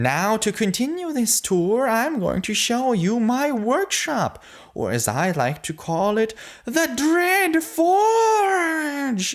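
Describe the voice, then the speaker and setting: The speaker puts on a theatrical character voice, fairly high in pitch. Delivery is very slow, with very wide pitch swings. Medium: read story. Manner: theatrical, gleeful, boastful.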